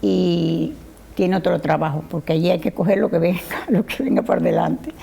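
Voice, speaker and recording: Noticeable background noise is present. A woman talks at a moderate pace. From Cuba. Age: 80s+. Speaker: interviewee, daughter of a Formentera emigrant. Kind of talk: TV interview.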